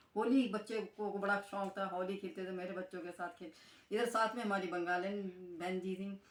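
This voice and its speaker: A woman speaks at a medium pitch in a flat, monotone delivery, with noticeable background noise behind her. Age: 70s. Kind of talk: interview answer.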